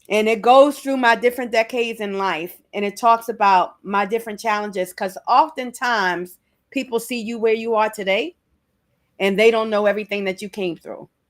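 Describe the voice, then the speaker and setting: In a plain, everyday voice, a woman speaks with an American accent at a fairly high pitch and ordinary pitch variation. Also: moderate pace. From Maryland, US (Prince George's County). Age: 60s. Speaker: author and self-representation advocate. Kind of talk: podcast interview.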